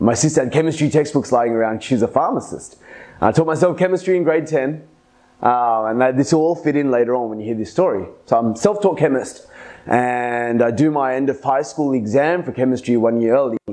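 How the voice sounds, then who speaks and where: A man speaks at medium pitch with a strong Australian accent. His tone is dark and mellow. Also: ordinary pitch variation, fairly quick pace. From Australia, Sydney. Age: 30s. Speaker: podcast host. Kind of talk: personal storytelling monologue. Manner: casual, conversational with fillers.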